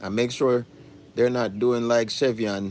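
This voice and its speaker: A man speaks in a Jamaican accent at a moderate pace. His intonation is fairly even. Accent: Jamaican English with patois features. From Jamaica, Kingston. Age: adult. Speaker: food channel host. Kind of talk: casual chat. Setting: livestream from home.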